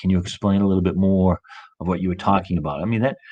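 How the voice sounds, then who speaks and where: A man's very deep, low voice with fairly even intonation, in a quiet background. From Boston. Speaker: coach and motivational speaker. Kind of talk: interview. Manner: fast.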